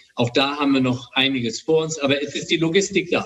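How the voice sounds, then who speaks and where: A man talks at a moderate pace, his fairly high pitch set in an ordinary speaking voice. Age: 60s. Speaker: hospital director and ENT doctor. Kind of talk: interview. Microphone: makeshift recording setup, slightly poor audio.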